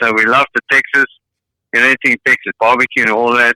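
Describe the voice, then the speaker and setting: A man talks at a fairly quick pace with a South African accent, the sound dry and close with no echo. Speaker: caller. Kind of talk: casual chat.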